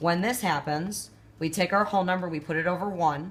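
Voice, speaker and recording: Breathiness runs through this woman's voice, somewhat noticeable. Her pitch is fairly low. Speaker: math teacher. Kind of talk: tutorial.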